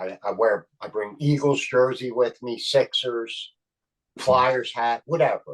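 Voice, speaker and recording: A man with a Philadelphia accent speaks at a very slow pace, his loudness swinging widely. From Philadelphia (Kensington). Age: 60s. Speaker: actor and comedian. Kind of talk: casual interview chat. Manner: animated.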